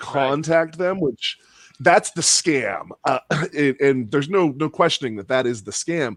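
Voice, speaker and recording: Here is a man with a normal speaking voice, fairly high in pitch, using lively intonation at a fairly slow pace. The sound is dry and close with no echo. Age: middle-aged. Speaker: podcast host. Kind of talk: casual chat.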